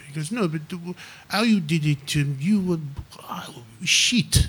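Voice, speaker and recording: The voice is somewhat breathy. It's a man, talking at a fairly slow pace. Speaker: comedian and actor guest. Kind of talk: casual chat interview before live audience. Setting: stage with live audience.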